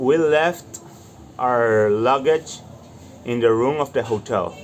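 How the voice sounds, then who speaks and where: A very slow pace in a Latin American accent, over noticeable background noise. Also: man. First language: Spanish. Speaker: student vlogger. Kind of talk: reading aloud with live translation.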